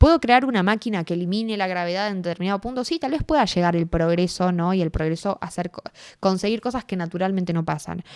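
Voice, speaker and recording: A woman's ordinary speaking voice, medium in pitch, at a fairly quick pace with lively intonation, in a very clean recording with a silent background and a dry, close sound with no echo. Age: 20s. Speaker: writer and activist. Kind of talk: interview conversation.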